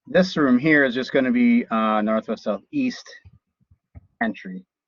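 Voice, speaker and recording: At a fairly slow pace, a man talks with an ordinary speaking voice, medium pitch, and ordinary pitch variation. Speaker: college instructor teaching drafting software. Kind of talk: live class tutorial. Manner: casual, conversational.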